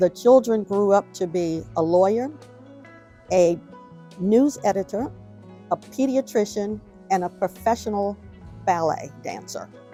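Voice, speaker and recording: A woman with an American accent speaks at a fairly slow pace in a medium pitch, her pitch varying in an ordinary way, with long, frequent pauses and music playing in the background. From Washington, DC. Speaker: oral history narrator. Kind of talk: oral history interview answer. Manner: conversational, reminiscing.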